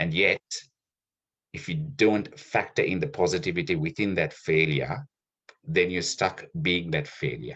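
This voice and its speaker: A man speaks very deep and low, with vocal fry and very wide pitch swings. His pace is fairly slow, with long, frequent pauses. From Sri Lanka. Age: 30s. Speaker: podcast guest, insurance worker. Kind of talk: casual interview. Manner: reflective.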